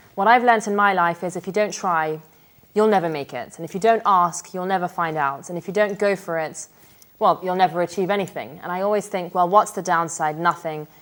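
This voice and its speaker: A woman's fairly low-pitched, normal speaking voice at a fairly quick pace, with ordinary pitch variation and big swings in loudness. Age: 20s. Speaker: banker. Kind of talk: interview.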